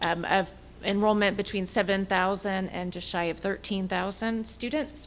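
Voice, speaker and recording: At a moderate pace, an unremarkable speaking voice talks with fairly even intonation. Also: woman. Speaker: compensation consultant. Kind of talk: presentation to school board. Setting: public board meeting.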